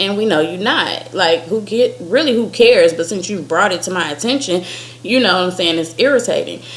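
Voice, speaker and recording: Over noticeable background noise, a woman's medium-pitched voice carries lively intonation. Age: 30s. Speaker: vlogger. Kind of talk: casual chat. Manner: animated.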